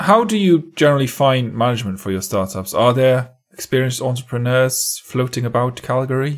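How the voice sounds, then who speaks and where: A plain, everyday voice at a fairly quick pace, with lively intonation. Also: man, medium pitch for a man. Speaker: podcast host. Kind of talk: interview.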